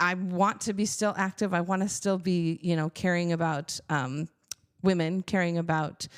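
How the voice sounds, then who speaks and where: A woman with an unremarkable speaking voice talks at a moderate pace, her pitch fairly low and her intonation fairly even. Her loudness stays very even on a very clean recording with a silent background. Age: 50s. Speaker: church executive director, former music teacher. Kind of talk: podcast interview.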